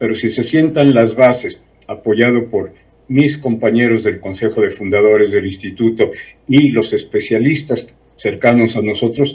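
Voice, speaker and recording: Somewhat breathy, a man talks at medium pitch and a moderate pace with ordinary pitch variation. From Mexico City. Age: 70s. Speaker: civil engineer, smart cities institute president. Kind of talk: TV interview.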